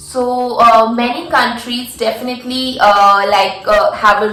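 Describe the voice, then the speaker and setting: A woman speaks with an Indian accent at a fairly high pitch, using ordinary pitch variation. Music plays in the background. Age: 20s. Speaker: international master's student. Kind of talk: casual talk to camera.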